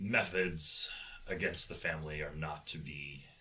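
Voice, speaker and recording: Light background noise accompanies a man doing a put-on character voice. His pitch is very deep and low, and his pace is moderate. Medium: actual play. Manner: formal, courteous.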